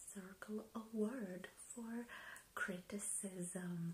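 Over light background noise, a soft-spoken woman sounds somewhat breathy, with ordinary pitch variation. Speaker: ASMR video creator, book reviewer. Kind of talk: ASMR book review. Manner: hesitant, with frequent fillers. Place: home room. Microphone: webcam.

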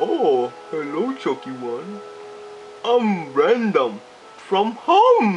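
Clear music plays in the background as a put-on character voice at a middle pitch moves at a very slow pace. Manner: slow, dopey.

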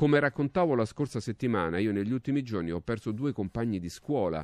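The speaker moves at a fairly quick pace with very wide pitch swings. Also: man, quiet background, dry sound with no echo. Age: 60s. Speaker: radio talk show host. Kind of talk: talk show commentary; talk radio commentary. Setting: radio studio, also on TV. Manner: halting, repetitive. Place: studio. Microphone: studio mic.

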